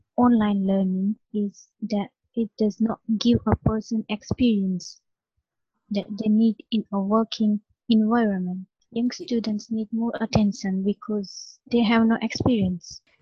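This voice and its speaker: A woman's fairly high, somewhat breathy voice, fairly slow and flat in intonation, with a dry, close sound and no echo. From India. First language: not English (ESOL learner). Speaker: language student. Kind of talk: interview.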